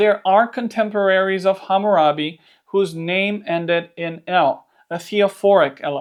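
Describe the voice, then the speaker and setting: The speaker talks at a moderate pace with a Romanian accent. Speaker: Bible teacher. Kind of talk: scripted narration.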